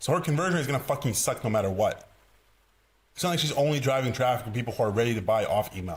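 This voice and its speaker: Talking at a very fast pace, a man with a medium-pitched, somewhat breathy voice sounds animated, his intonation lively. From Eastern Europe. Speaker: sales coach. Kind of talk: tutorial.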